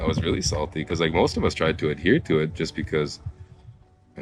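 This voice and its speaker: Music plays in the background. A man with a very deep, low voice talks at a very fast pace. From Haida Gwaii, British Columbia, Canada. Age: young. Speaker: Haida tour guide. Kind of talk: interview answer. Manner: casual, conversational.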